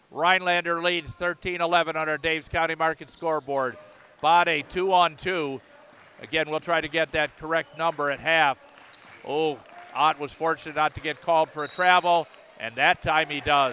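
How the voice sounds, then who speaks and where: There is noticeable background noise as a man with a fairly high pitch talks at a moderate pace in a monotone, flat intonation, with a dry, close sound and no echo. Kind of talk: live sports commentary. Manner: bursts of names and scores, jokey asides between plays.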